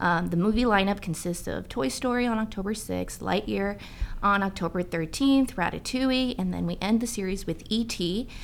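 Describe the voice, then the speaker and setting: A woman speaks in an unremarkable speaking voice at medium pitch. Her pace is moderate and her pitch varies in an ordinary way. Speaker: city special events staffer. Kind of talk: casual interview.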